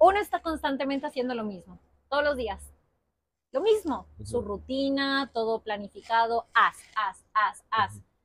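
Her voice high-pitched, a woman speaks at a moderate pace with lively intonation, and the sound is dry with no echo. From Spain. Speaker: yoga teacher. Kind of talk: casual chat. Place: garden. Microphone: lapel.

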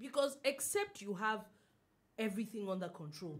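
A woman speaks at a moderate pace in a somewhat breathy voice. Her pitch swings very widely. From Nigeria. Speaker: radio host. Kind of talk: casual chat. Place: studio. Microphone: studio mic.

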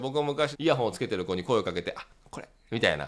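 A man at a very fast pace, animated in tone, with vocal fry. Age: 40s. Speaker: dating coach. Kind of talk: tutorial.

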